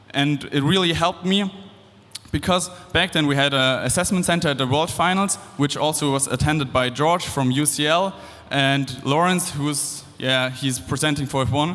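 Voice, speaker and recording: A man talks with a German accent at a fairly high pitch. His loudness stays very even throughout. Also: ordinary pitch variation, moderate pace. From Germany. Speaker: engineering student. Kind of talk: speech to student audience.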